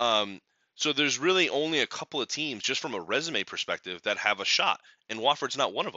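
Animated in tone, a man speaks at a fairly quick pace with very wide pitch swings. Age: 30s. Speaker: sports podcast host. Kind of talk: casual solo commentary.

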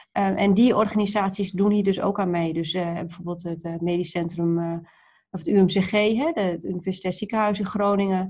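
A woman speaks at a moderate pace in a medium pitch, somewhat breathy. Her intonation is flat and monotone. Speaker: project leader. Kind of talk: interview. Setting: video call.

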